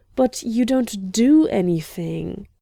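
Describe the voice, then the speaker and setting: A woman puts on a character voice, pitched fairly high, with lively intonation. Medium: read story. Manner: dry, teasing.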